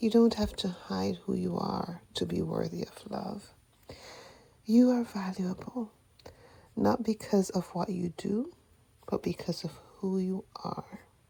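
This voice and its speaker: The speaker is soft-spoken with a gentle tone, talking at a fairly slow pace with long, frequent pauses. Noticeable background noise runs underneath. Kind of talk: affirmation letter reading. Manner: gentle, comforting.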